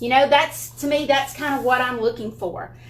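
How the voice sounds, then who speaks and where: A woman with a strong Southern US accent speaks at a high pitch and a moderate pace. Noticeable background noise runs underneath. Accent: thick Southern US. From Alabama. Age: 50s. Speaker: furniture painting YouTuber. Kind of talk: tutorial. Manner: casual, chatty.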